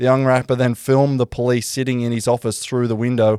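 At a fairly quick pace, a man with a medium pitch and a dark, mellow tone speaks in a monotone, flat way, in a dry, close sound with no echo. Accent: Australian. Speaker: podcast host. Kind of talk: casual chat.

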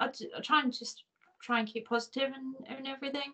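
A speaker with an Irish accent talks at a moderate pace. The intonation stays flat and monotone throughout. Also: woman. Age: 30s. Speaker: paralympic cyclist. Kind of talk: interview.

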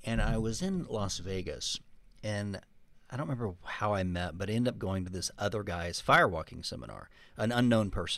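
A man with an American accent speaks at a fairly quick pace in a fairly low voice with ordinary pitch variation, on a very clean recording with a silent background. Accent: Texan, reduced. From Texas. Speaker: podcast co-host and author.

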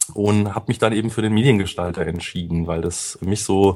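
Speaking at a moderate pace, a man uses a fairly low pitch with ordinary variation. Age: 30s. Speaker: SEO consultant. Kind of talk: interview. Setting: studio.

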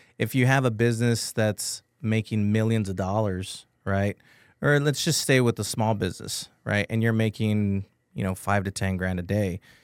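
With an ordinary speaking voice, a man speaks at a moderate pace in an American accent, his pitch fairly low and intonation fairly even. The recording is very clean and dry, close, with no echo and a silent background. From Texas, San Antonio. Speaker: IT and cybersecurity business owner. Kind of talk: radio interview. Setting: studio.

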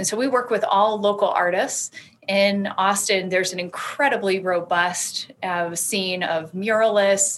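A woman with an American accent talks in a normal speaking voice at a fairly slow pace. Her pitch is medium, with ordinary variation. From US South, Alabama. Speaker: art consultant and business owner. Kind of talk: interview.

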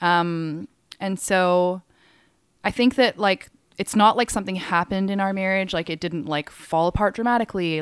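In a very clean recording with a silent background and a dry, close sound with no echo, a woman with a Canadian accent and an unremarkable speaking voice talks at a fairly quick pace, her fairly low pitch moving with ordinary variation. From Hong Kong and Calgary, Canada. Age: 30s. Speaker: DJ and music writer. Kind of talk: casual chat.

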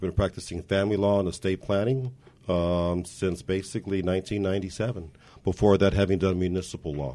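A very deep, low-pitched man with a dark, mellow tone, fairly even intonation and a very fast pace. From Montebello, Los Angeles area, California. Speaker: city council candidate and lawyer. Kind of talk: interview.

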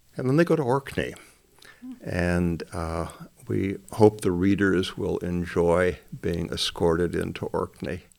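Speaking fairly slowly with a Midwestern American accent, a man uses a very deep, low pitch and ordinary pitch variation. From northern Michigan. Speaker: retired minister and mystery author. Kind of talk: interview.

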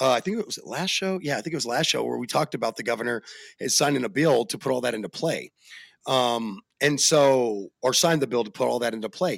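Lively intonation marks this man's medium-pitched voice. He talks at a very fast pace on a very clean recording with a silent background. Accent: American. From Arizona. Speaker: podcast host. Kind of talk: casual chat. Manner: animated.

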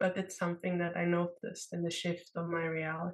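Fairly quick woman's voice, fairly low in pitch, an unremarkable speaking voice. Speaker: podcast co-host. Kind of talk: casual chat. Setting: video call.

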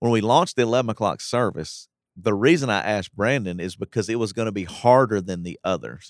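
Someone with an American accent talks very fast with ordinary pitch variation. The recording is very clean and silent behind, with a dry, close sound and no echo. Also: man, fairly low pitch for a man. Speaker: pastor. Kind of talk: casual chat. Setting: studio.

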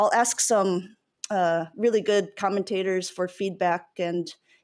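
A woman with an American accent speaks at a medium pitch and fairly even intonation in a very clean recording with a silent background. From US Midwest, Iowa. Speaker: esports commentator. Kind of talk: casual chat.

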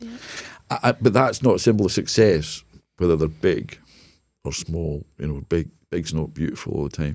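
Lively intonation in a Scottish accent, with big swings in loudness and long, frequent pauses. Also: man, very deep, low pitch for a man, moderate pace. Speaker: business consultant and former charity CEO. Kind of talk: casual interview chat. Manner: halting, repeats words.

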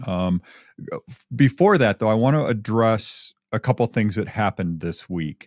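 A normal speaking voice from a man with an American accent, fairly low pitch, lively intonation and a moderate pace, on a very clean recording with a silent background and a dry, close sound with no echo. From Michigan. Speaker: real estate agent and radio host. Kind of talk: casual radio talk show.

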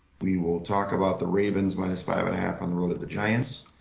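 A man speaks in a very deep, low pitch at a fairly quick pace. His intonation is monotone and flat, and the room echo is audible. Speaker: sports betting podcast co-host. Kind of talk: casual chat.

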